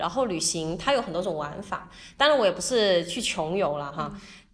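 Medium-pitched female speech wrapped in audible room echo. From Guangdong, Zhuhai. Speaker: entrepreneur and international volunteer. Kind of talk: casual interview chat.

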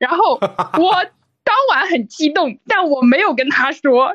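Against a quiet background, a woman speaks in a high voice at a fairly slow pace. The sound is dry and close with no echo, and her pitch swings very widely. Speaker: listener sharing a story. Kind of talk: casual storytelling.

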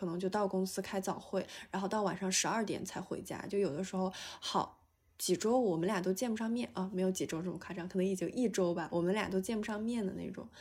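Somewhat breathy, very fast delivery with ordinary pitch variation. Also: woman, medium pitch for a woman. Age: 20s. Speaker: graduate student. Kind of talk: casual chat. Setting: video call.

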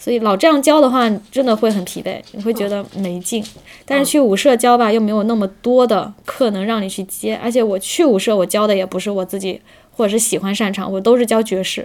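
In a very clean recording with a silent background, a woman talks at a fairly quick pace, her fairly high pitch showing ordinary variation. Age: 30s. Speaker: street dance teacher, former office worker. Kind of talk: casual chat. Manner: halting, many fillers.

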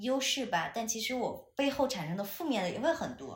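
Audible room echo surrounds a woman's somewhat breathy voice as her pitch swings very widely. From China, Chengdu. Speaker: podcast co-host, broadcasting graduate. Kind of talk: casual chat. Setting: at home, in person. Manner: animated.

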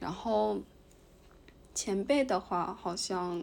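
Speaking at a very slow pace, a woman with a medium pitch is heard on a very clean recording with a silent background. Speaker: podcast co-host, graduate student in Japan. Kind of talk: casual chat.

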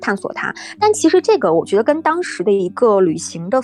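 Woman's voice at a moderate pace with very wide pitch swings. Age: 20s. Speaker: travel blogger, former radio host. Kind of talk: casual chat.

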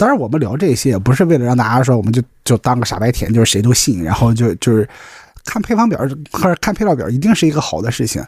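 A somewhat breathy man talks at a very fast pace in a medium pitch, his voice making very wide pitch swings. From Qingdao, Shandong, China. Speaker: podcast co-host. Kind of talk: casual chat. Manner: frequent stuttering repetitions.

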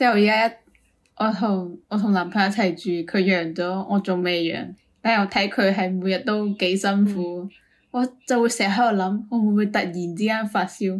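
This woman has an ordinary speaking voice, medium in pitch, with fairly even intonation. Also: moderate pace. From Guangdong, China. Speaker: podcast co-host. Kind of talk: casual chat.

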